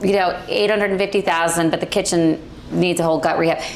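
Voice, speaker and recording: A woman speaks at a fairly low pitch and moderate pace, with ordinary pitch variation. Audible room echo and noticeable background noise fill the recording. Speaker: real estate agent. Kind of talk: panel discussion. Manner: loud.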